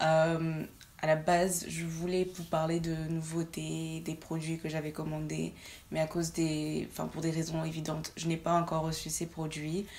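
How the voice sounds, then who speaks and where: A woman speaks with a very deep, low pitch. Her delivery is fairly slow, with monotone, flat intonation. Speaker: beauty youtuber. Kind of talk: makeup tutorial. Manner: hesitant, with many fillers.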